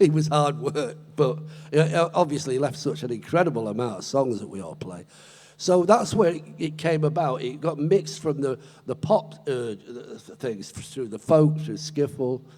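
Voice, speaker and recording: A man speaks at a moderate pace and a fairly high pitch, his intonation lively. His loudness swings widely. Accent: English. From Britain. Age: 70s. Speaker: blues guitarist. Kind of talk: interview on stage. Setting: stage with audience.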